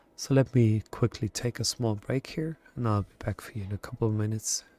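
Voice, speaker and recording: With music in the background, a man of medium pitch speaks at a moderate pace with ordinary pitch variation, the sound dry and close with no echo. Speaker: let's play gamer. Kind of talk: casual gameplay commentary. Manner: hesitant, filler-heavy.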